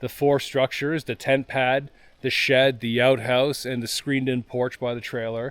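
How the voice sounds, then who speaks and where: A man talks at a medium pitch and a moderate pace. His intonation is monotone and flat. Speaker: off-grid homesteader vlogger. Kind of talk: casual vlog talk outdoors. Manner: loud.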